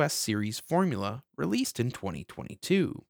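A man with a medium pitch and vocal fry speaks at a moderate pace with very wide pitch swings, in a very clean recording with a silent background and a dry, close sound with no echo. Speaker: podcast host. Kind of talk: scripted narration in the style of a retro game intro, read aloud. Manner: dramatic, solemn, measured storytelling pace.

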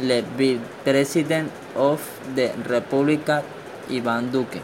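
The speaker has a Colombian accent and fairly even intonation. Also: man. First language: Spanish. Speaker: podcaster. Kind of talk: news reading.

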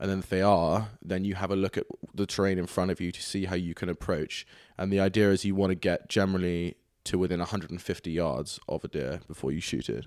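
In a very clean recording with a silent background, a man with a British accent talks at a very fast pace, his very deep, low pitch carrying fairly even intonation. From England and Scotland. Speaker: ESG professional at a bank. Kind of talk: casual chat.

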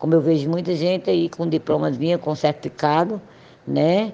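A woman's very deep, low voice with vocal fry and a dark, mellow tone, ordinary pitch variation, and a moderate pace. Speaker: traffic psychologist. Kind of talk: interview. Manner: halting.

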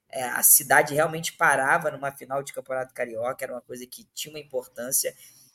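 A man talking at a very fast pace with hardly any pauses and monotone, flat intonation. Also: fairly high pitch for a man, dry, close sound with no echo. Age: 30s. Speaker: football fan guest. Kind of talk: casual chat.

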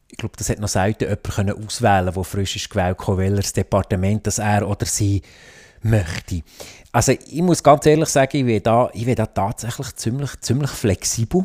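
A man speaks at a fairly quick pace in a Fribourg accent. The recording is very clean, with a silent background and a dry, close sound with no echo. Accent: Sense German (Fribourg Swiss German dialect). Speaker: politician and IT entrepreneur. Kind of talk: interview. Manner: halting, many fillers and restarts.

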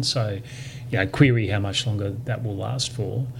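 A man with an Australian accent and fairly even intonation, amid noticeable background noise. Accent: local Australian. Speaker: lawyer and author. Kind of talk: casual interview. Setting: in person.

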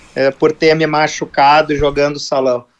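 Flat, monotone intonation marks speech delivered fairly slowly. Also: man. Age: 40s. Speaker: football club executive. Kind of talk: radio interview. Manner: halting, with repetitions.

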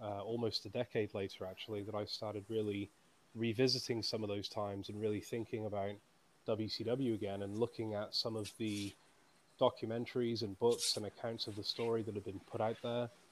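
A man with a British accent speaks at a fairly low pitch in a monotone, flat intonation. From UK. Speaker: author. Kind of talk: interview.

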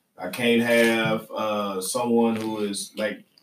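A man speaks in a Southern US accent. His pace is very slow. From US South. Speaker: podcast host. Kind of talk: casual chat. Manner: laughing often.

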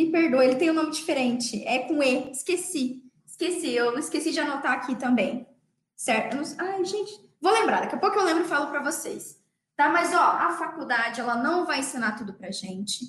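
A woman speaks at a high pitch and a moderate pace with lively intonation. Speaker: dentist and podcast host. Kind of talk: motivational talk. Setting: livestream. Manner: animated.

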